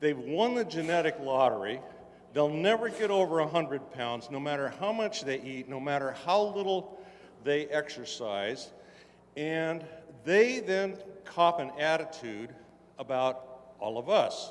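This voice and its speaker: This man's fairly high voice swings very widely in pitch, with noticeable background noise present. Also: fairly slow pace. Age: 60s. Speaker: audience member at convention. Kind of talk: audience question at convention panel.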